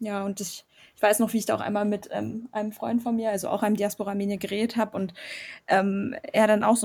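A somewhat breathy voice with a dark, mellow tone races along at a very fast pace. Its intonation is monotone and flat. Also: woman. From Germany. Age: 20s. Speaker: student, Armenian diaspora youth activist. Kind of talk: casual interview.

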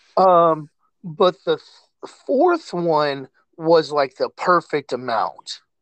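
A man with an American accent and a high pitch, very slow in pace, with ordinary pitch variation in a dry, close sound with no echo. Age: 30s. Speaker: podcast host. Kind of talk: casual chat.

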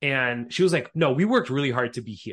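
The speaker is a man at medium pitch. His pitch varies in an ordinary way. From Montreal, Quebec, Canada. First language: Russian. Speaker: YouTuber and automation specialist. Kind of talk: casual interview chat.

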